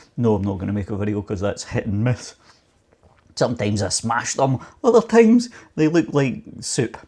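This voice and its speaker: With a Scottish accent, the speaker talks fairly quickly in a dark, mellow, somewhat breathy tone with ordinary pitch variation and long, frequent pauses. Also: man. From Scotland. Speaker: home baking youtuber. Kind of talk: casual chat and cooking tutorial. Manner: chatty, rambling with fillers.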